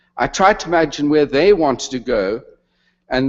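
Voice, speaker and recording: A man with a South African accent uses lively intonation at a fairly high pitch and a moderate pace. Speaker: retired retail executive, honorary degree recipient. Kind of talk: convocation speech.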